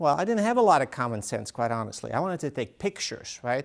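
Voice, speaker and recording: A man speaks with a Dutch accent. His pace is fairly quick. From Netherlands. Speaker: author. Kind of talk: talk to an audience.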